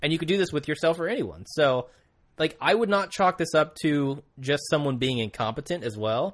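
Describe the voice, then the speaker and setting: A man speaks in an ordinary speaking voice at a fairly high pitch. His intonation is lively. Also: moderate pace, quiet background. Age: 20s. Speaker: podcast co-host. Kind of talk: casual chat.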